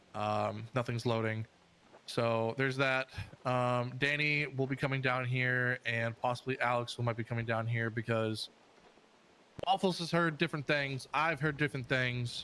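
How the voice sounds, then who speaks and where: A loud man's voice, bright and sharp in tone, at medium pitch with fairly even intonation and a moderate pace. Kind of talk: casual chat.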